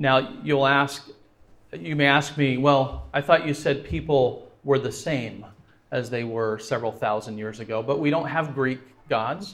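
A man's medium-pitched voice with vocal fry, a fairly slow pace and ordinary pitch variation. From France. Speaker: guest speaker. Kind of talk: evangelistic lecture with consecutive interpretation. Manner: pauses after each sentence for interpreter.

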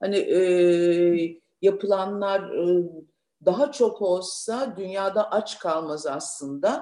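At a very slow pace, the speaker talks with ordinary pitch variation. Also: woman, medium pitch for a woman. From Turkey, Thrace (Lüleburgaz). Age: 60s. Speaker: businesswoman, uniform company founder. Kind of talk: interview. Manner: animated.

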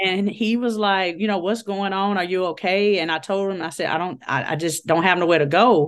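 Moving at a fairly quick pace, the speaker has a plain, everyday voice with ordinary pitch variation. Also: woman, medium pitch for a woman. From Chicago, Illinois (West Side). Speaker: guest sharing faith testimony. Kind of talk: personal testimony in casual interview.

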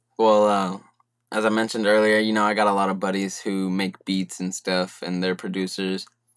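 Fairly low in pitch, a man speaks at a fairly quick pace with an American accent and monotone, flat intonation, on a very clean recording with a silent background. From California, Central Valley (Merced). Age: 20s. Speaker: hip-hop artist. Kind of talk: casual chat.

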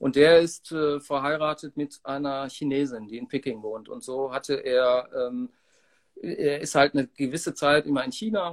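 A man talks in an unremarkable speaking voice, fairly high in pitch with ordinary pitch variation. His loudness swings widely, and the sound is dry and close with no echo. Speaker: musician. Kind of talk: interview.

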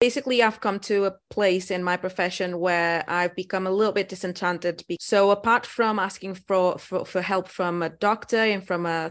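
A woman with a Portuguese accent, medium-pitched and fairly even in intonation, at a moderate pace against a quiet background. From Portugal. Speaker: dentist. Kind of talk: interview. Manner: halting.

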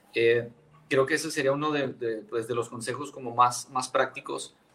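Monotone, flat intonation marks this delivery, which proceeds at a moderate pace. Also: man. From Chihuahua, Mexico. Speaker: pastor. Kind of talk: casual chat.

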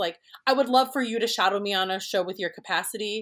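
A woman talking at a very fast pace with an American accent, a fairly high pitch, and ordinary pitch variation. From Minnesota, Twin Cities. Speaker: prop designer. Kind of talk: casual interview. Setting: remote recording.

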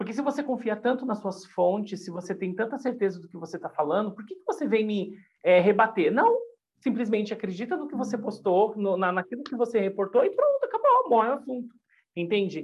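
Fairly high for a woman, her pitch moves with ordinary variation as she talks at a fairly quick pace. Her voice is somewhat breathy, with big swings in loudness. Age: 40s. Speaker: YouTuber and gossip commentator. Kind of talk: casual podcast chat.

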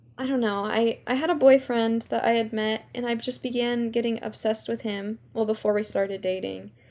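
A woman with an American accent speaks at a moderate pace in an ordinary speaking voice with a fairly high pitch. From New York, then California from age seven. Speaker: podcast co-host. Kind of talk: casual chat.

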